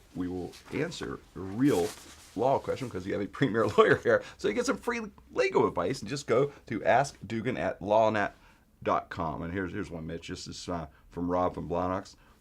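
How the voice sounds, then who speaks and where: At a moderate pace, a man with an American accent speaks with big swings in loudness. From Pittsburgh, Pennsylvania. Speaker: podcast host. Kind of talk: casual chat.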